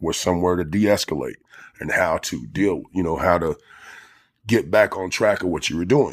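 Very deep, low male voice with vocal fry, a rather brisk delivery and normal rises and falls in pitch. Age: 40s. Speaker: formerly homeless ex-prisoner. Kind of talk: interview. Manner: halting, many fillers.

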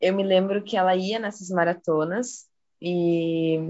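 A woman talks in an ordinary speaking voice. Her medium pitch comes with fairly even intonation. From southern Brazil, Porto Alegre. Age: 20s. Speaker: student and biodanza participant. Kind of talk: casual chat.

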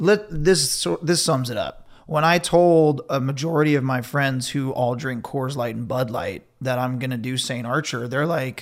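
With an unremarkable speaking voice, this man talks at a fairly slow pace and a fairly high pitch, with hardly any pauses, on a very clean recording with a silent background. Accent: American. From Ventura, California. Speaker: beverage company co-founder, former surf filmmaker. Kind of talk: interview.

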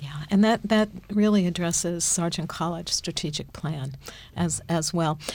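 A woman speaks at a fairly low pitch and fairly slow pace, somewhat breathy, with ordinary pitch variation. The recording is very clean with a silent background. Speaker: podcast moderator and university administrator. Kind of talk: interview.

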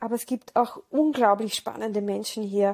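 A woman's dark, mellow voice at a fairly high pitch with fairly even intonation, in a dry, close sound with no echo. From Austria, Vienna. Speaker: dancer, choreographer and podcast host. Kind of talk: podcast introduction monologue.

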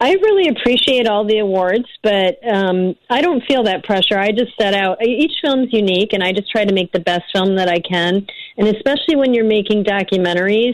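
In a plain, everyday voice with an American accent, a woman speaks at a fairly quick pace and fairly high pitch, with very even loudness, ordinary pitch variation and hardly any pauses. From Illinois, north of Chicago. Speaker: documentary director. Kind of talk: interview.

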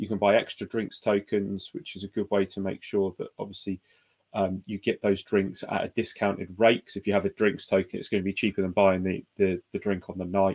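Dry and close with no echo, a man speaks at a fairly low pitch. His pace is fairly quick, his intonation monotone and flat. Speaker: producer and co-host. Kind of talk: casual chat about football.

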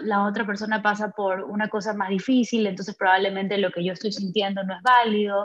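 A woman talks at a moderate pace and medium pitch. She has an unremarkable speaking voice. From Ecuador. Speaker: psychologist. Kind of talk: casual interview chat.

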